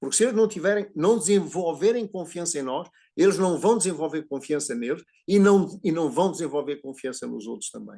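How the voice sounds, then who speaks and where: A man with a Portuguese accent speaks in a high-pitched, dark, mellow voice, his intonation lively and his loudness swinging widely, over a quiet background. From Portugal. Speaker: psychologist speaking at a prayer group. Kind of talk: talk on family systems and education. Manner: halting, repeats words.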